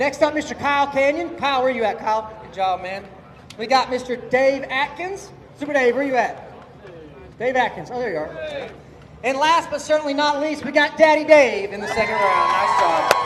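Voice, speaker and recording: An extremely high-pitched man's voice with big swings in loudness, amid noticeable background noise and audible room echo. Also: lively intonation, moderate pace. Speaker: drag racing event host. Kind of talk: live event emcee at driver introductions. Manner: loud, yelling; animated.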